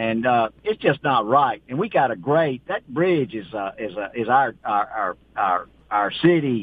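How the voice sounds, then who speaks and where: With lively intonation and hardly any pauses, a man speaks at a medium pitch and a fairly slow pace. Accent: Mississippi. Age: 70s. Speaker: small-town mayor. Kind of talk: call-in radio chat.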